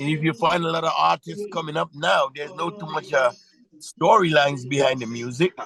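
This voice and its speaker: A man with a Trinidadian accent and a fairly high pitch speaks at a fairly quick pace with ordinary pitch variation amid noticeable background noise. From Trinidad and Tobago. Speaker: soca and reggae singer. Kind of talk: interview answer. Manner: casual, conversational.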